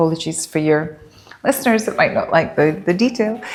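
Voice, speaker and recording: Over background music, the speaker uses lively intonation in a Scottish accent. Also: woman. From Scotland. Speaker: poet and dentist. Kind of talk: interview answers. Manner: hesitant, with fillers.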